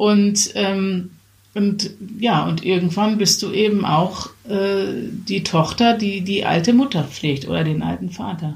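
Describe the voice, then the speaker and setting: Delivered very slowly, the speech shows ordinary pitch variation. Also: woman, medium pitch for a woman. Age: 40s. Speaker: podcast co-host. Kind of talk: casual chat.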